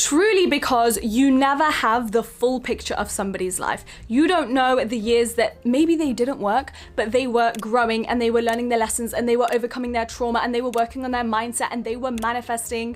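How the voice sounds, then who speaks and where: Speaking fairly quickly with hardly any pauses, a woman uses a high pitch that varies in an ordinary way. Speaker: self-help video creator. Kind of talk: motivational talk. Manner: emphatic.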